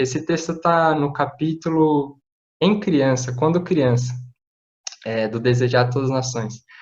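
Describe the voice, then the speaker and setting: A man's fairly high voice, a little breathy. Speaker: preacher. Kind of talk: sermon.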